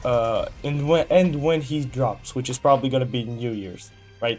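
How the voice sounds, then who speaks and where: Music plays in the background as a man talks. His pace is fairly slow and his intonation lively. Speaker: gaming YouTuber. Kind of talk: casual commentary video. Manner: animated.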